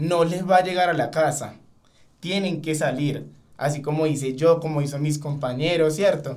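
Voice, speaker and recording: A man speaks with a high voice. The room echo is audible. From Venezuela, Caracas. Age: 20s. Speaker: call center sales agent. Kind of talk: podcast interview.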